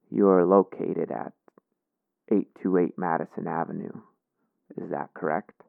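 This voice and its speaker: Putting on a character voice, a man speaks quietly and raspily at a very deep, low pitch and a moderate pace, with long, frequent pauses. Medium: read story. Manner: slow, pausing, breathing heavily.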